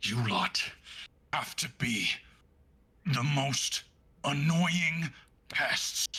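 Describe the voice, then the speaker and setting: Using a put-on character voice at a fairly high pitch, a man talks at a very slow pace with long, frequent pauses. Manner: gritted-teeth, irritated.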